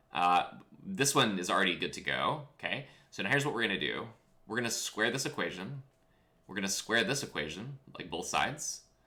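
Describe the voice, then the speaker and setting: Animated and bright, sharp in tone, a man speaks at a fairly quick pace and medium pitch with very wide pitch swings and vocal fry. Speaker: physics teacher. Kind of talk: lecture. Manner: casual, animated; fast.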